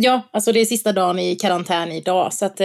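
A woman's fairly quick speech with ordinary pitch variation and vocal fry. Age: 30s. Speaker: influencer and shop owner. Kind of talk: interview. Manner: hesitant, many fillers.

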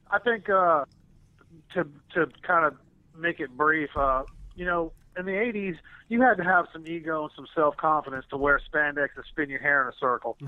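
With a Southern US accent, a man speaks at a moderate pace and a fairly high pitch, taking long, frequent pauses. His loudness swings widely while his pitch varies in an ordinary way. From US South. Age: 50s. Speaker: musician. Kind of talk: interview.

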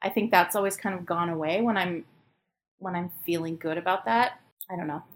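With an American accent, a woman in a fairly low pitch talks at a fairly quick pace with ordinary pitch variation in an ordinary speaking voice. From US Pacific Northwest, Portland, Oregon. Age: 50s. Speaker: preschool teacher. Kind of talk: casual interview.

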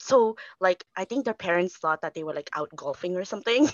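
An unremarkable speaking voice from a woman, fairly quick in pace with lively intonation. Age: 30s. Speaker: single mother, bookkeeper. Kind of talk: casual interview.

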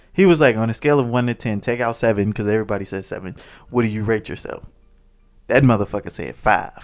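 With music in the background, a man's words tumble out at a very fast pace, his pitch varying in an ordinary way. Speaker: podcast co-host. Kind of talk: casual banter. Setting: video recording at home. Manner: joking, teasing, laid-back; low-talkative, dislikes long talking.

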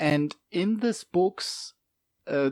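In a German accent, the voice has a dark, mellow tone and lively intonation, recorded very cleanly against a silent background with a dry, close sound and no echo. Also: man. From Germany. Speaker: game master and hobbyist. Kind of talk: casual chat. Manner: halting, searching for words.

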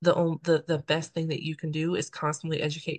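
This woman has a very deep, low pitch and a somewhat breathy voice, speaking at a moderate pace with monotone, flat intonation. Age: 30s. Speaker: podcast host. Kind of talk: interview.

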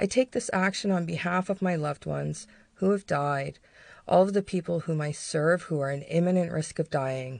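Against a quiet background, a woman with an unremarkable speaking voice and a fairly low pitch talks at a moderate pace. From Canada. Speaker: podcast co-host. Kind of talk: reading aloud an emotional protest speech, then personal reflection.

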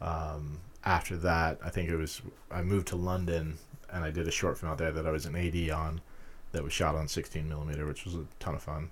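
A man's very deep, low voice with an American accent, monotone and flat, somewhat breathy, at a fairly quick pace. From Utah. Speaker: filmmaker. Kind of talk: casual interview.

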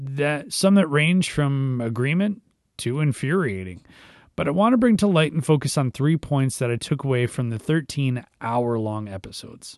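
A man with an ordinary speaking voice talks at a moderate pace, his pitch fairly high and his intonation lively. The background is quiet. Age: 30s. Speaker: youth minister and devotional podcast host. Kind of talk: devotional talk, partly reading a blog post aloud.

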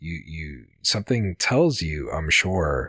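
In a very deep, low voice with vocal fry, a man speaks with lively intonation, the sound dry and close with no echo. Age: 30s. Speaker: podcast host. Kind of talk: casual chat. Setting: remote call.

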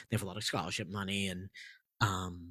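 The sound is dry and close with no echo as a man speaks in an American accent. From Massachusetts, Andover near Boston. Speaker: theater sound designer and composer. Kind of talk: casual interview. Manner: halting, many fillers.

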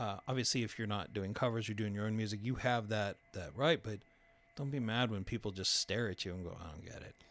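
A man speaks with an American accent at a fairly quick pace and fairly low pitch, using ordinary pitch variation and a normal speaking voice. The recording is very clean with a silent background. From El Paso, Texas. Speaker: burger restaurant owner and copywriter. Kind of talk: casual chat. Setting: studio.

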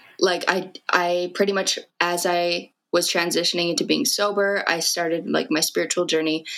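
Using a normal speaking voice, a woman talks at a moderate pace with hardly any pauses, her pitch fairly low, her intonation fairly even and her loudness very even. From Canada, Fort McMurray, Alberta. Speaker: rapper. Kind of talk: interview.

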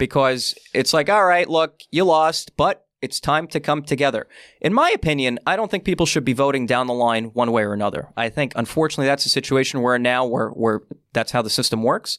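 In a very clean recording with a silent background and a dry, close sound with no echo, a man with an ordinary speaking voice talks at a fairly quick pace, fairly high in pitch, with ordinary pitch variation and very even loudness. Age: 20s. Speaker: political candidate. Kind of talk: interview.

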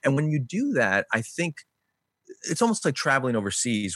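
A man with a Chicago accent speaks at a fairly quick pace, the sound dry and close with no echo and the background quiet. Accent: Chicago-area American. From Chicago suburbs, US Midwest. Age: 40s. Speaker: author and minister, podcast co-host. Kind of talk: interview conversation.

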